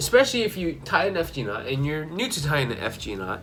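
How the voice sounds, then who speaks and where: A man's voice over music in the background. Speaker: fishing vlogger. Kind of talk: casual tutorial.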